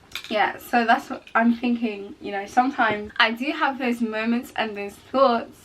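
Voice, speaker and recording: A woman with a fairly high pitch talks at a moderate pace with hardly any pauses, her intonation fairly even, her loudness swinging widely, and noticeable background noise behind her. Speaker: vlogger. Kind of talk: casual chat. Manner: halting.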